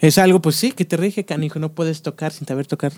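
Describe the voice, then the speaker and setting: Pitched high for a man, this voice moves at a moderate pace with ordinary pitch variation, recorded with a dry, close sound and no echo. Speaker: podcast host. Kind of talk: casual interview chat.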